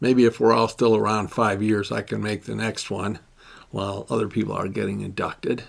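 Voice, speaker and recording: Talking at a fairly quick pace, a man with a fairly low pitch uses vocal fry and a monotone, flat intonation. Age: 70s. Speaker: award honoree, men's group facilitator. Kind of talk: recorded acceptance speech. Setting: pre-recorded video played at gala.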